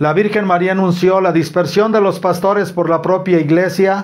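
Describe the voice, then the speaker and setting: High-pitched male speech over a quiet background. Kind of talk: sermon-style religious talk. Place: home room.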